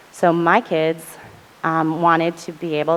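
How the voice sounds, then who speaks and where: A woman speaks with a fairly low pitch. Noticeable background noise is present. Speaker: panelist on college mental health. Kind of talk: panel presentation. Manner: fast.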